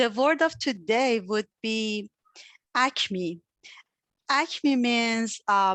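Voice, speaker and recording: A woman with a non-native accent speaks at a very slow pace with long, frequent pauses, her fairly high pitch showing ordinary pitch variation in a dry, close sound with no echo. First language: not English. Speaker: club member. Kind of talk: meeting role explanation. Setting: video call. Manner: hesitant, many fillers.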